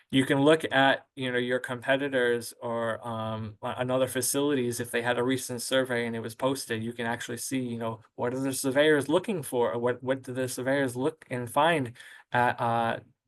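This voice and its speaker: Over a quiet background, a man speaks in a monotone, flat intonation. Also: medium pitch for a man, moderate pace. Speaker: webinar presenter on nursing home quality ratings. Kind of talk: webinar presentation. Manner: hesitant, many fillers.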